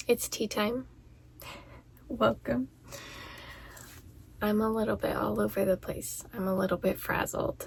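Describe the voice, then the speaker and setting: A soft-spoken woman talks at a fairly slow pace, with long, frequent pauses. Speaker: vlogger and educator. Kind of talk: casual chat. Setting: in a closet at home.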